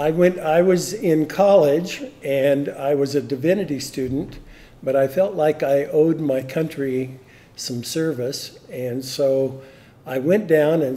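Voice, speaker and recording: The man speaks at a very slow pace. His pitch varies in an ordinary way. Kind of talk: interview answer. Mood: relaxed, reflective. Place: meeting room. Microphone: studio mic.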